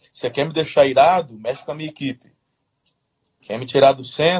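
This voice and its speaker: A man's fairly high-pitched, somewhat breathy voice, dry and close with no echo. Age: 40s. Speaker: pastor. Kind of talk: casual interview on leadership. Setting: livestream.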